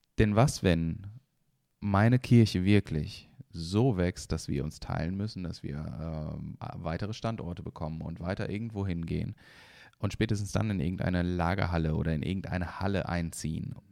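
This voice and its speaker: Very deep and low in pitch, a man speaks with a dark, mellow tone and ordinary pitch variation. His pace is moderate, and the recording is very clean with a silent background. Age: 30s. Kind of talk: casual chat.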